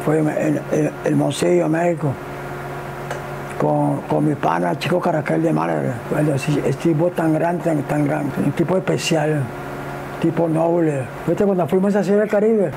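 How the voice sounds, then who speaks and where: Noticeable background noise sits behind a man who speaks with long, frequent pauses. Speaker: baseball super fan. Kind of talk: interview answer. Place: home room.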